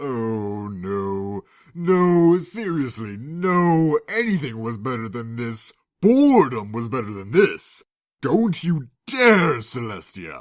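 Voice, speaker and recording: In a very clean recording with a silent background, a man uses a put-on character voice at a medium pitch and a very slow pace. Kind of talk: read story. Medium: read story. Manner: sardonic, theatrical.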